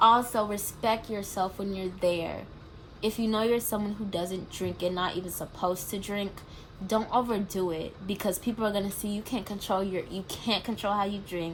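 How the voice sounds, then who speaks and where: With a plain, everyday voice, a woman of medium pitch talks at a moderate pace and fairly even intonation. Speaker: college student vlogger. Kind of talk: casual advice vlog.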